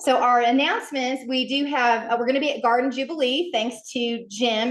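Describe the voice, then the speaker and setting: The voice is loud and moves at a moderate pace. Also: woman. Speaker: beekeeping club president. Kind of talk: club meeting announcements. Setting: meeting room with audience, streamed on Zoom. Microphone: conference speakerphone instead of handheld mic.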